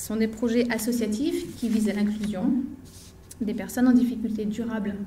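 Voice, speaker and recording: In audible room echo, a woman speaks at a moderate pace in a fairly high, monotone, flat voice. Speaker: equine therapist and association founder. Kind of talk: conference talk.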